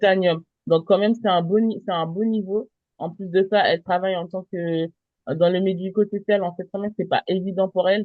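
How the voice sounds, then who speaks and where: A woman's medium-pitched voice at a moderate pace, with monotone, flat intonation. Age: 30s. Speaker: travel business presenter. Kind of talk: sales pitch.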